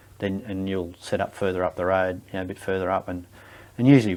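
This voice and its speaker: A man's very deep, low, monotone voice with flat intonation, at a fairly quick pace, in an Australian accent, on a very clean recording with a silent background. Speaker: war veteran. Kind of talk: interview answer. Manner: hesitant, casual.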